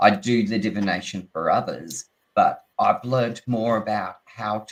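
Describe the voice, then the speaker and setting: This speaker is a man with an Australian accent. He talks at a fairly slow pace. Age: 60s. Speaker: tarot reader and teacher. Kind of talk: casual chat.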